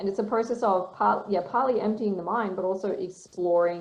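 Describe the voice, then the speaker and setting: A woman's fairly quick speech, delivered with fairly even intonation, carries audible room echo and noticeable background noise. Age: 30s. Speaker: writer and author. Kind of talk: interview.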